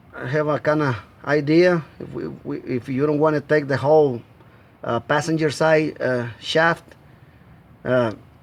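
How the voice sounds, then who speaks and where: Speaking with a Spanish accent, a man talks at a fairly slow pace and fairly high pitch, with fairly even intonation and long, frequent pauses. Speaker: amateur mechanic. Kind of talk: tutorial. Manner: halting.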